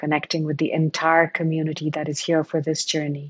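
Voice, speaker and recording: A woman's very deep, low pitch in a monotone, flat intonation. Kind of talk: guided meditation. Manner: slow, calm, soothing, with gentle pauses.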